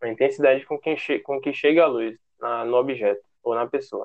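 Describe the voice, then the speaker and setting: This man's voice sits at a medium pitch, keeping a moderate pace and a fairly even intonation. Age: 20s. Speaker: photographer. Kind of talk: interview.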